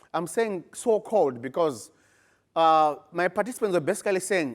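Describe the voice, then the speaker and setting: A man with an African accent speaks at a high pitch with lively intonation. The recording is very clean, with a silent background. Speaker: postgraduate researcher. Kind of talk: conference presentation.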